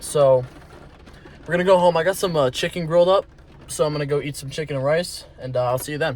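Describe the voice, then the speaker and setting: A man at a very fast pace, fairly high in pitch with ordinary pitch variation, over noticeable background noise. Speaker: fitness vlogger. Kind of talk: casual vlog talk. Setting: at home, night. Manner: soft-spoken.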